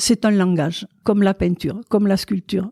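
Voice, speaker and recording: The voice has a dark, mellow tone, and it sounds dry and close with no echo. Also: woman. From southwest France, Gers. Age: 80s+. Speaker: sculptor and painter. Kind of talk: interview. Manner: halting.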